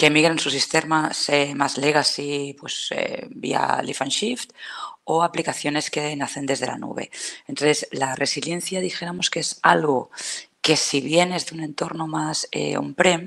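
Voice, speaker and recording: A woman's very deep, low pitch at a fairly slow pace over noticeable background noise. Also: ordinary pitch variation. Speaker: cloud solutions architect. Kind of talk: technical talk.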